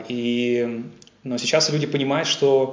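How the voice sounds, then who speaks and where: The speaker is a man with a fairly high pitch. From Russia, Yaroslavl. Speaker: scientist. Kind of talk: interview. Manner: hesitant with fillers.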